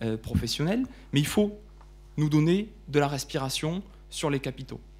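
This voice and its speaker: Somewhat breathy and fairly high-pitched, a man with a Toulouse accent speaks with ordinary pitch variation in a very clean recording with a silent background. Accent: southern French accent (Toulouse). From southern France, Toulouse. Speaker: lawyer, law firm partner. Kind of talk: panel debate presentation. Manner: hesitant, repeats words.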